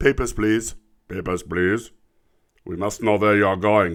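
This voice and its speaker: A man uses a put-on character voice at a fairly low pitch. He talks at a fairly slow pace. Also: fairly even intonation. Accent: German. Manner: stern, demanding.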